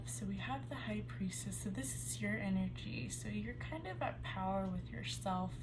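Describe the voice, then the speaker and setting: A woman talks at a moderate pace. Noticeable background noise and audible room echo are present in the recording. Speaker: tarot reader. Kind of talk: tarot reading. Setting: at home. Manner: soft-spoken.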